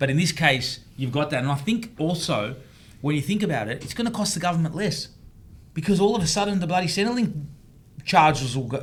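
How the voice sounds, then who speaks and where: Speaking at a fairly quick pace with lively intonation, a man with a fairly high pitch and an Australian accent is heard over audible room echo. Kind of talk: casual panel discussion. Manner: animated.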